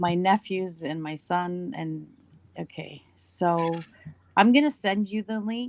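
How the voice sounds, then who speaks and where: Her voice fairly low, a woman talks at a very slow pace with ordinary pitch variation and big swings in loudness. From Canada, Toronto. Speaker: caller. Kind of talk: casual chat.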